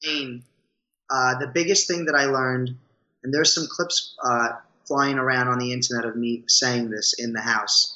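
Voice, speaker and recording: A man with a strong New York accent speaks at a moderate pace, with a medium pitch and ordinary pitch variation. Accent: thick New York. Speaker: reality show contestant and Broadway performer. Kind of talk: interview. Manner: energetic, rambunctious. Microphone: cutting out a little.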